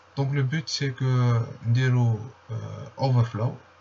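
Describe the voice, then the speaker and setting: Monotone, flat intonation from a man at medium pitch, with noticeable background noise. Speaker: security researcher. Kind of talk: tutorial walkthrough. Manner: casual.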